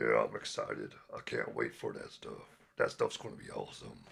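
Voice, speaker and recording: A man's raspy put-on character voice, extremely high, at a fairly quick pace. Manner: excited.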